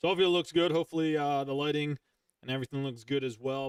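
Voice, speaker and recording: Here a man speaks at a medium pitch with a Philadelphia accent. The sound is dry and close, with no echo. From Philadelphia, US Northeast. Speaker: gaming streamer and podcast host. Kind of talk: casual chat. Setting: live stream.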